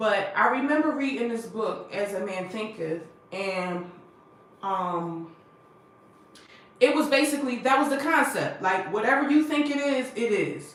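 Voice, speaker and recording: In a room with audible echo and noticeable background noise, a loud woman with a fairly high pitch talks in an animated tone at a fairly slow pace, her pitch swinging very widely between long, frequent pauses. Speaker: motivational speaker, vlogger. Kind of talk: livestream monologue, life story. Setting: livestream.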